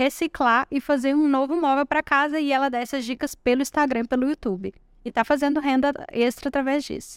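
Speech comes at a fairly quick pace with fairly even intonation on a very clean recording with a silent background. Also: woman. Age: 30s. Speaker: digital marketing entrepreneur. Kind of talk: interview. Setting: event studio at a college entrance.

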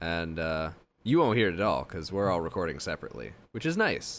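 Vocal fry marks this man's voice. He speaks at a fairly quick pace. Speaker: podcast co-host. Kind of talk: casual banter podcast. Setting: home recording setup. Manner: joking, sarcastic.

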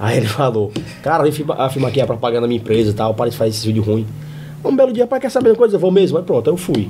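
A man at a very fast pace, with long, frequent pauses, lively intonation and noticeable background noise. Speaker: comedian. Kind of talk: casual chat.

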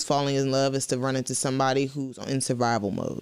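Here a woman is speaking. Her pace is very fast. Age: 20s. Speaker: podcast co-host. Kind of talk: casual chat. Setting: live-streamed home recording.

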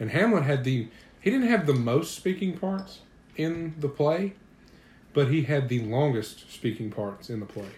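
Very wide pitch swings at a moderate pace, somewhat breathy. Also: man. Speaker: podcast co-host. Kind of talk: casual chat.

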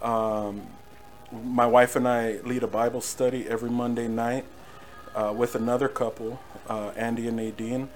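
A man's monotone, flat delivery at a moderate pace, with noticeable background noise. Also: medium pitch for a man. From Norwalk, Southern California. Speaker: worship musician. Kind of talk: testimony. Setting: home recording streamed live.

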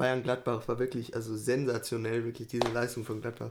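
A man talks at a moderate pace with a medium-pitched voice. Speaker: podcast co-host. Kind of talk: casual chat.

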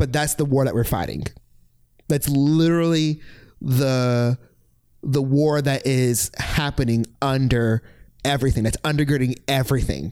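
Speaking with an American accent, a man talks at a fairly slow pace and medium pitch, with fairly even intonation, very even loudness, and long, frequent pauses. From Virginia Beach, Virginia. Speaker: former university staff director. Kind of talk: casual chat.

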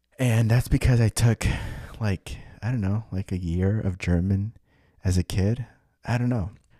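With a dark, mellow tone and fairly low pitch, a man talks at a moderate pace with fairly even intonation and long, frequent pauses, in a dry, close sound with no echo on a very clean recording with a silent background. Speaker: podcast host and musician. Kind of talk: solo monologue update. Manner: casual, rambling with fillers.

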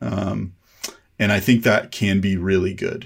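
Relaxed in tone, a man speaks with vocal fry at a fairly low pitch and a fairly slow pace, using ordinary pitch variation. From South Texas. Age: 40s. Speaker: cinematographer. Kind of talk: casual interview chat. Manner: relaxed, laid-back.

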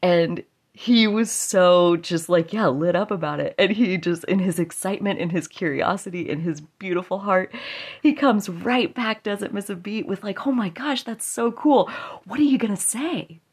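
In a quiet background, a woman uses an ordinary speaking voice at medium pitch. Her intonation is lively and her pace moderate. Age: 30s. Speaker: podcast host. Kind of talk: solo monologue podcast. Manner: casual, chatty with fillers.

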